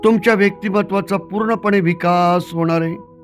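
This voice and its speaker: A man talks with a high pitch. Music plays in the background. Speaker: hypnotist, guided meditation guide. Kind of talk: guided meditation, self-suggestion instructions. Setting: old cassette recording, first published 1991.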